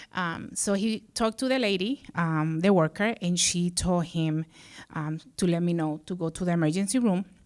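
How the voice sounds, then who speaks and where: With a Spanish accent, a woman talks at a moderate pace in a fairly low voice with ordinary pitch variation. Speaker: social services director. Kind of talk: personal storytelling on stage. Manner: halting, many fillers.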